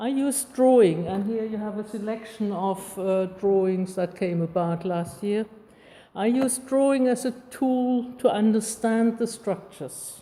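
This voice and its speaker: A woman with a non-native accent speaks at a fairly slow pace in a fairly high pitch, her pitch varying in an ordinary way. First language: not English. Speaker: artist giving a talk. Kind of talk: public lecture, largely read aloud. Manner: reading from script.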